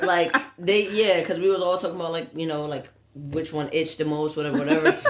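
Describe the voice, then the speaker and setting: Over noticeable background noise, a woman talks at a very fast pace. Her voice is fairly low, with ordinary pitch variation. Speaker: podcast co-host. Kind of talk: casual chat. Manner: stutter.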